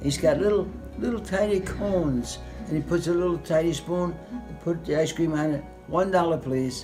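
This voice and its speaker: Over background music, a man with a high pitch talks at a moderate pace with ordinary pitch variation. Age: 80s+. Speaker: war veteran. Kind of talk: interview answer.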